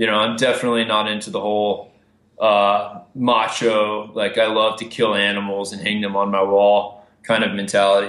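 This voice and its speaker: A man with an American accent at a fairly low pitch, monotone, flat intonation at a moderate pace, and audible room echo. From Texas, Amarillo. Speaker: filmmaker and conservationist. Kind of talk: casual interview.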